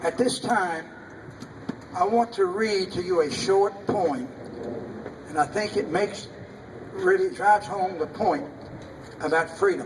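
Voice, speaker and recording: A man with an American accent speaks at a very slow pace, taking long, frequent pauses. His voice is high-pitched with ordinary pitch variation, over noticeable background noise. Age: 80s+. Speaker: war veteran. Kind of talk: public speech at veterans' event.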